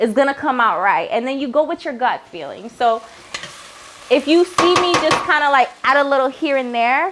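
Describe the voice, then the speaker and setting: A woman with a Haitian accent speaks at a high pitch and a moderate pace. Her intonation is lively, and noticeable background noise can be heard. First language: Haitian Creole. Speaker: cooking show host. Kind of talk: cooking tutorial. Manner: casual, chatty.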